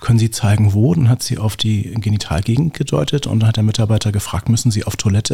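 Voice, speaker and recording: Very fast and with hardly any pauses, a man speaks in a dark, mellow, somewhat breathy tone at a fairly low pitch with ordinary pitch variation. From Berlin (Lichterfelde/Lankwitz). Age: 50s. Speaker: gerontologist. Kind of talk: interview.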